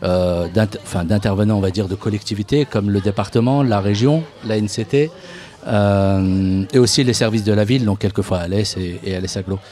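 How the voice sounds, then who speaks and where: Noticeable background noise sits behind a man with a fairly low pitch. He moves at a moderate pace with ordinary pitch variation. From Paris suburbs (Seine-Saint-Denis). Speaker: youth media association worker. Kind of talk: radio interview. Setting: outdoor live radio broadcast at a bar, in the rain. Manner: casual, hesitant with many fillers.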